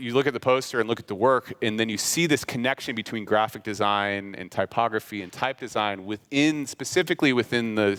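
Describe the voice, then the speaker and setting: A man at medium pitch with ordinary pitch variation and a fairly quick pace, an ordinary speaking voice, dry and close with no echo, in a very clean recording over a silent background. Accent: American. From US Midwest, Kansas City. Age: 30s. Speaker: graphic designer giving a talk. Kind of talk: conference talk. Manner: casual, filler-heavy.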